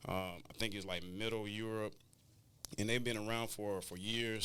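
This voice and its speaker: Audible room echo surrounds a bright, sharp tone delivered at a fairly quick pace with fairly even intonation. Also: man. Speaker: clothing brand founder and educator. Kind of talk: interview.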